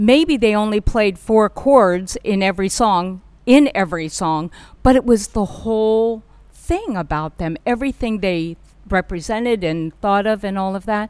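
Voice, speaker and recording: A woman speaks in an unremarkable speaking voice with an American accent, at a medium pitch and a moderate pace. Her intonation is lively, and the recording is very clean with a silent background. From California. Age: 60s. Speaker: public relations director. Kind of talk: interview.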